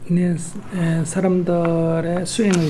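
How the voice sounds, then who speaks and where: Speaking at a moderate pace with a high pitch, a man is heard with audible room echo and noticeable background noise. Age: 60s. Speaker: Buddhist monk and activist. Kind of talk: interview.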